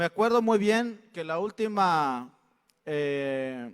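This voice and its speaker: A high-pitched male voice on a very clean recording with a silent background. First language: Mixtec (speaking Spanish). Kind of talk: public address at consultation. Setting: state congress hall. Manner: halting, with fillers.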